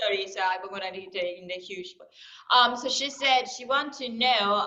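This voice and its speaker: A woman's fairly high voice at a moderate pace, with ordinary pitch variation, big swings in loudness and audible room echo. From Africa. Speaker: interpreter for Japanese students. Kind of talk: interpreting a question.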